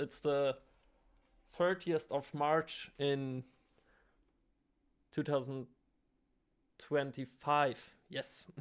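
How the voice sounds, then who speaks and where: Someone with a German accent speaks at a very slow pace in a very clean recording with a silent background. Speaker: artist vlogger, trainee kindergarten teacher. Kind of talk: casual vlog. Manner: halting, many fillers.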